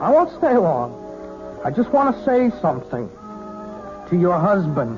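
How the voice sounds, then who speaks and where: With music in the background, a man delivers his words at a fairly slow pace. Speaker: young piano student. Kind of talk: vintage radio mystery drama.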